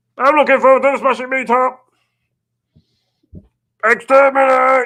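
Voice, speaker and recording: This is a put-on character voice with a high pitch. It moves at a moderate pace with monotone, flat intonation. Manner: menacing, barking.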